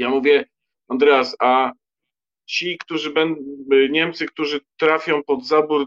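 The voice belongs to a man. It sounds dry and close, with no echo. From Poland, Lower Silesia. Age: 50s. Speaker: writer. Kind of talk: casual chat.

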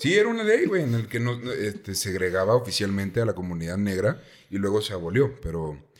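Here a man speaks at a fairly low pitch with ordinary pitch variation. He moves at a fairly quick pace. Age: 20s. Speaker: podcast host. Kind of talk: casual storytelling chat. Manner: animated.

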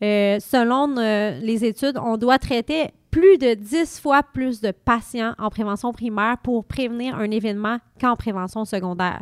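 This woman has a normal speaking voice, fairly high in pitch with ordinary variation, delivered at a fairly slow pace. The recording is very clean and dry, close-miked with no echo and a silent background. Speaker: hospital pharmacist. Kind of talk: interview.

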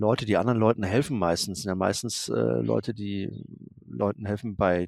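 This is a normal speaking voice with lively intonation. The pace is moderate. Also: man. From Germany, Darmstadt. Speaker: photographer. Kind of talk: interview. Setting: video call.

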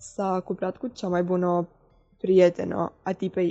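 A woman speaks with a dark, mellow tone at a medium pitch. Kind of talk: personal story.

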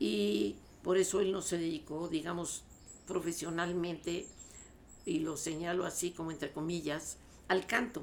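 A woman with a fairly low pitch and vocal fry talks at a fairly slow pace, with ordinary pitch variation and long, frequent pauses. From Mexico (born La Paz, raised Mexico City). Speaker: soprano singer. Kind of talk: interview.

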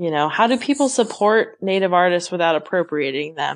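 A woman with an ordinary speaking voice talks at a moderate pace in a fairly low pitch against a quiet background. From western Oregon. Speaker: podcast host. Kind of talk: casual chat; scripted narration.

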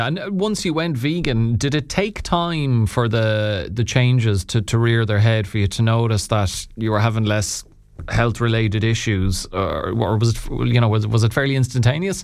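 A man's medium-pitched voice with an Irish accent, moderate pace, lively intonation and hardly any pauses, over music in the background. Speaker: radio host. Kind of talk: radio interview. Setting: studio.

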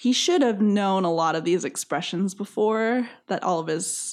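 A normal speaking voice at a moderate pace with lively intonation, on a very clean recording with a silent background. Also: woman. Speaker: podcast host. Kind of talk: casual chat.

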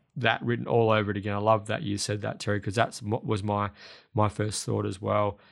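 Vocal fry in an Australian accent, on a very clean recording with a silent background. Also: man. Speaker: racing podcast host. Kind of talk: casual racing preview chat.

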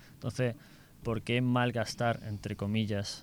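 A man speaks in a fairly low pitch at a fairly slow pace. His intonation is monotone and flat. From Seville, Spain. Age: 20s. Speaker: architecture student on exchange. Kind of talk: casual interview; summary in English.

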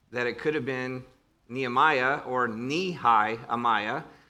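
A man with a Northern Ohio accent at a medium pitch, bright and sharp in tone, fairly slow, with ordinary pitch variation. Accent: Northern Ohio American. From northern Ohio, US. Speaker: preacher and seminary professor. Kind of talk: sermon. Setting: church with congregation. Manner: informal, humorous, conversational.

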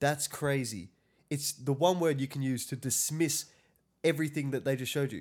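A man speaks at a fairly high pitch. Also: very clean recording, silent background. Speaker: podcast co-host. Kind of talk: casual banter podcast chat. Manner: joking, banter-heavy.

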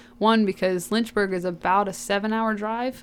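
A woman with an American accent speaks in a normal speaking voice. Her pitch is medium and her intonation fairly even. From Georgia, US. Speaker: college athlete. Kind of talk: interview. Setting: studio.

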